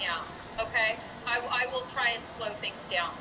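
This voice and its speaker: Against noticeable background noise, a woman speaks at a fairly slow pace in a raised, projected voice. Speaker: teacher. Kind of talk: online class lecture.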